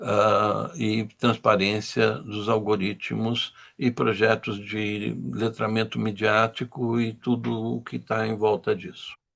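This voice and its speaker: This man talks at a very slow pace but with hardly any pauses. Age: 70s. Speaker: journalist, lecturer. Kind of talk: lecture.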